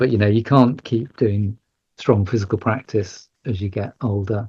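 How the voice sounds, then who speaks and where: Against a quiet background, a man with a fairly low pitch speaks in a dark, mellow, somewhat breathy tone with fairly even intonation. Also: moderate pace, dry, close sound with no echo. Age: 60s. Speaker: yoga teacher and charity head. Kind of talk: podcast interview. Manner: halting, many fillers and repeats.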